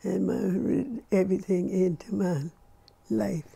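Lively intonation marks this woman's voice. She speaks at a very slow pace. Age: 80s+. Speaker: restaurant owner. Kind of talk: interview answer. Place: home room. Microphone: lapel.

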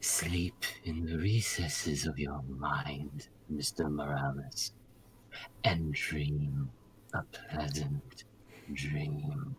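A put-on character voice talks at a very slow pace with a very deep, low pitch and long, frequent pauses. Light background noise sits underneath. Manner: slow, hypnotic, menacing.

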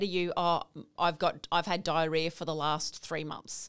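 With an Australian accent, a woman speaks at a moderate pace. The background is quiet. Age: 40s. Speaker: naturopath, lymphatic specialist; guest. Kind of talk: interview, explaining. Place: studio. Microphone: studio mic.

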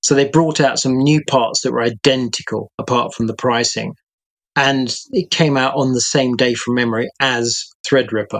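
In a British accent, a man speaks at a moderate pace with fairly even intonation over a quiet background. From UK. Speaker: freelance tech journalist. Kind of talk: casual chat. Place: home room.

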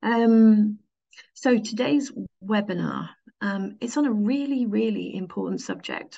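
A woman with vocal fry speaks at a fairly slow pace, her medium pitch, ordinary pitch variation and dark, mellow tone all clear.

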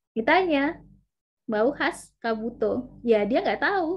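A woman talks at a fairly slow pace in a high voice. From West Sumatra, Indonesia; Indonesia. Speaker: university lecturer. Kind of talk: online lecture. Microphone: video call.

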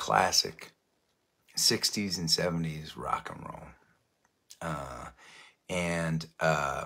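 A man's very deep, low voice with vocal fry and a bright, sharp tone, ordinary pitch variation, a very slow pace, long, frequent pauses and big swings in loudness. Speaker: musician. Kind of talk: casual chat. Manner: halting, many fillers.

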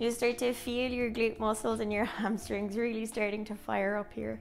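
Faint music plays in the background as the speech moves at a moderate pace. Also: woman. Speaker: pilates instructor. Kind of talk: exercise class instruction. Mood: calm, encouraging, some laughter. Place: home room.

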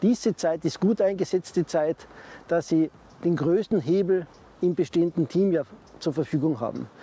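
A man with a high pitch talks at a moderate pace with ordinary pitch variation, the sound dry with no echo. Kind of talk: advice talk to camera. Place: garden. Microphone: lapel.

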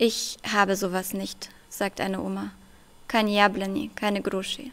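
The woman's pitch is medium. She talks at a very slow pace. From Germany, Russian-German family. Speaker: poet; debut poet. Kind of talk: poetry reading; interview answer and poetry reading. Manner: hesitant with many fillers when talking. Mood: calm, thoughtful. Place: stage. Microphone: podium.

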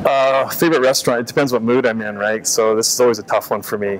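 A man at a medium pitch, fast pace and fairly even intonation, over faint background noise

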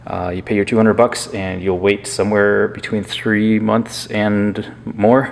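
This is a man's voice. He speaks at a fairly low pitch with fairly even intonation. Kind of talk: casual tutorial commentary. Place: workshop.

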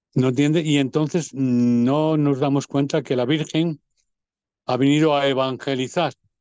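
In a quiet background and a dry sound with no echo, a man with a dark, mellow tone and fairly high pitch speaks fairly slowly in a monotone, flat way at very even loudness. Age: 70s. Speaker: parish priest. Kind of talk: interview. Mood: earnest, preaching tone. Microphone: video call.

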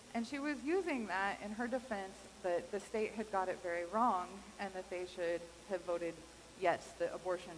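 A woman at a fairly quick pace, ordinary pitch variation, light background noise. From Kansas. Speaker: pastor. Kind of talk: sermon. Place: church.

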